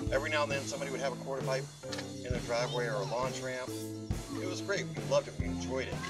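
Loud music plays in the background as a man with an American accent speaks at a very fast pace. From Buford, Georgia, US. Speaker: skateboarder. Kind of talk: casual interview answer. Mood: relaxed, nostalgic. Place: open country.

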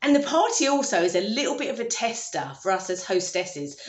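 A woman speaks at a fairly quick pace, with audible room echo. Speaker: home renovation vlogger. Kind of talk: casual vlog chat. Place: kitchen. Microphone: phone near.

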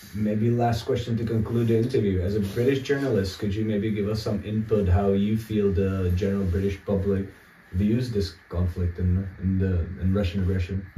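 Amid light background noise and audible room echo, a man with a fairly low pitch speaks at a moderate pace with hardly any pauses, his dark, mellow tone somewhat breathy and his intonation fairly even. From Czech Republic. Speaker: political analyst. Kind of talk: interview. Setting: abandoned house in war zone. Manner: halting. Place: home room.

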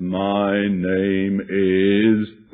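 A man does a put-on character voice that is gruff. His intonation is monotone and flat. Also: fairly low pitch for a man.

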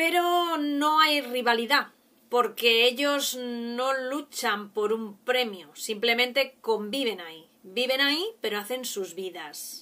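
Speaking very slowly, a woman with a high voice has a bright, sharp tone and lively intonation. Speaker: vlogger. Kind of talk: casual vlog chat. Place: home room. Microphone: webcam.

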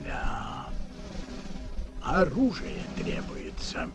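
A man speaks in a cartoonish character voice at a medium pitch, with very wide pitch swings and a very slow pace. Clear music plays in the background.

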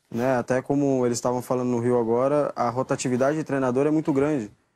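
A man with a medium pitch talks at a fairly quick pace with fairly even intonation. The sound is dry and close with no echo, over a quiet background. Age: 20s. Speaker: footballer. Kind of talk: press interview.

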